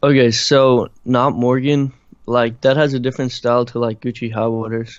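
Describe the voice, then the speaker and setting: Using a slight Irish accent, a man speaks at medium pitch and a moderate pace with monotone, flat intonation. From Ireland. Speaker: musician and producer. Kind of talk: interview. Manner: casual, halting with many fillers.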